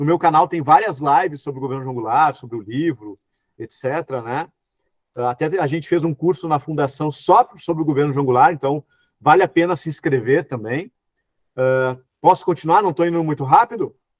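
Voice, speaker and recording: A man at fairly high pitch with ordinary pitch variation, dry and close with no echo. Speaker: historian lecturer. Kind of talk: online lecture. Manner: fast.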